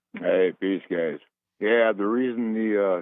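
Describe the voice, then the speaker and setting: A man with an unremarkable speaking voice, moderate pace and ordinary pitch variation. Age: 60s. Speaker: caller. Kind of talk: call-in talk radio.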